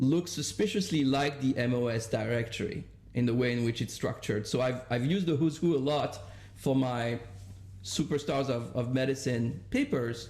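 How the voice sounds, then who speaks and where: Somewhat breathy, a man speaks at a moderate pace with lively intonation and very even loudness. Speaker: economics professor, paper discussant. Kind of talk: academic seminar discussion.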